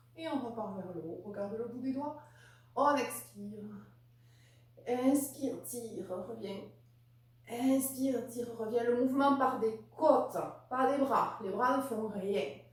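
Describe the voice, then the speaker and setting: With long, frequent pauses at a very slow pace, a woman with a high pitch and ordinary pitch variation speaks in big swings of loudness over noticeable background noise and audible room echo. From southern France, Narbonne. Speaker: Pilates instructor. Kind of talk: casual introduction to viewers; guided exercise class instruction. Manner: rhythmic counting, paced with breathing.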